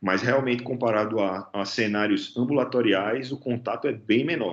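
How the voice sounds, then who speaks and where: The speaker is a man with a medium pitch. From Natal, Brazil (Northeast). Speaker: anesthesiologist. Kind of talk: interview. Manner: halting, with frequent repetitions.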